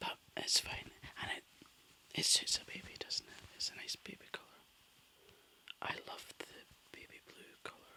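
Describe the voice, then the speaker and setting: Whispering in a gentle tone at a moderate pace. Long, frequent pauses break up the speech. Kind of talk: ASMR crafting talk to camera, relaxed and chatty. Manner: soft-spoken, gentle.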